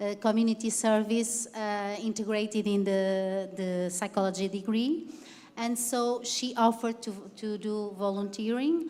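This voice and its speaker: A woman with a non-native accent, fairly high pitch, fairly even intonation, and a fairly slow pace. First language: not English. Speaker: university teacher. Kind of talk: panel discussion. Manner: halting.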